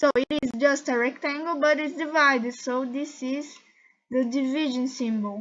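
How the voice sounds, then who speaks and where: A woman with a Portuguese accent speaks at a moderate pace in a high pitch with fairly even intonation, against a quiet background. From Brazil. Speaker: YouTuber. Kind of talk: tutorial. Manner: halting.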